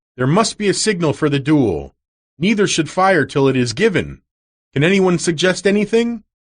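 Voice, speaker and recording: Putting on a character voice, a man speaks in a high pitch at a moderate pace with lively intonation and very even loudness over a quiet background. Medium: read story. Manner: authoritative, stern.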